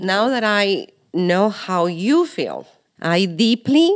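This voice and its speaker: On a very clean recording with a silent background, a woman speaks in a medium pitch with a Spanish accent. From Mexico. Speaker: host's mother. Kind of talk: interview.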